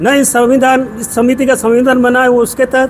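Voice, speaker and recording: Noticeable background noise sits behind a man speaking at an extremely high pitch. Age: 70s. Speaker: retired police officer, newly elected community association president. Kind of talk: media interview.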